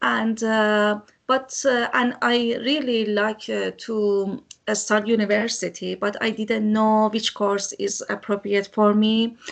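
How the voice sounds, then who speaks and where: Against a quiet background, a woman speaks very slowly in a fairly high pitch with monotone, flat intonation. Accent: non-native. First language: not English. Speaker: first-year mature student. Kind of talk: testimony. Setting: video call. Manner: halting.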